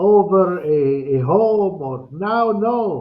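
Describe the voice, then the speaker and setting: A man speaks with an Arabic accent. His intonation is lively. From Palestine, Bethlehem. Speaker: interview guest. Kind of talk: casual chat. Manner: halting.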